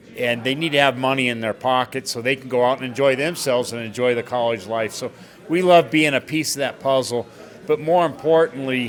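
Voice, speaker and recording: Noticeable background noise behind a man speaking at a fairly quick pace, medium in pitch with ordinary pitch variation. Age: 60s. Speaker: bar owner and businessman. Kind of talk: interview.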